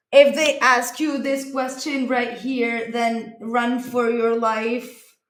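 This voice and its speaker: A woman with a non-native accent speaks very slowly in a high pitch with monotone, flat intonation, and audible room echo surrounds her voice. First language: not English. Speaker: comedic vlogger. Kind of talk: casual comedic vlog. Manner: halting, many fillers.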